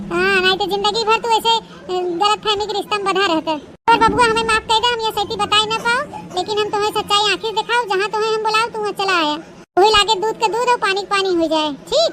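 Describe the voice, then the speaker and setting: A woman does a cartoonish character voice at an extremely high pitch, at a very fast pace with fairly even intonation. Clear background noise is audible. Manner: insistent, dramatic.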